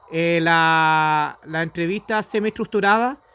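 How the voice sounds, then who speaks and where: A man's voice with ordinary pitch variation, dry and close with no echo, over noticeable background noise. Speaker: student. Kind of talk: thesis feedback discussion.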